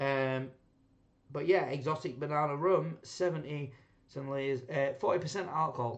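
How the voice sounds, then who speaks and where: With pitch pitched fairly high, the man talks at a middling rate and moves through pitch in an ordinary way. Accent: Yorkshire. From Yorkshire, England. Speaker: rum reviewer, channel host. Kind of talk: casual tasting review. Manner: rambling, hesitant with fillers.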